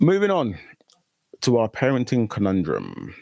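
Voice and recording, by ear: A man at a fairly low pitch and a fairly slow pace, with very wide pitch swings, vocal fry and a slightly mellow tone, in a dry, close sound with no echo.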